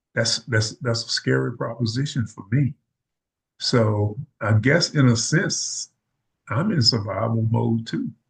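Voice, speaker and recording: Speaking at a fairly slow pace with a Mississippi accent, a man uses vocal fry at a medium pitch. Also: ordinary pitch variation. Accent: Southern US (Mississippi). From US South. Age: 70s. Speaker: retired army veteran and educator. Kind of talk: interview.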